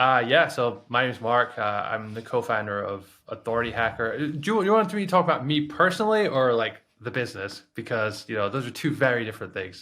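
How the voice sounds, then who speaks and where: A man speaks at medium pitch with a bright, sharp tone and lively intonation. His pace is fairly quick against a quiet background. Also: hardly any pauses. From Scotland. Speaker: online marketing course creator, podcast co-host. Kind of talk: podcast interview.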